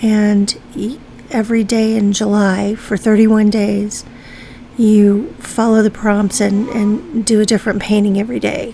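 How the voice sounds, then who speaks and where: Against noticeable background noise, the speaker goes at a fairly slow pace with fairly even intonation. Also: woman. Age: 60s. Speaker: art YouTuber. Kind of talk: casual chat while painting. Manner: hesitant, many fillers.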